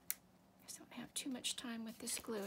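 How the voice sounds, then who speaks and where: Soft-spoken delivery at a fairly slow pace, with noticeable background noise. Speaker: papercraft tutorial maker. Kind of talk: crafting tutorial. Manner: thinking out loud, trailing off.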